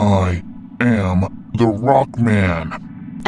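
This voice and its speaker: Over clear background noise, a man does a loud, growling, put-on character voice at a fairly low pitch. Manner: angry.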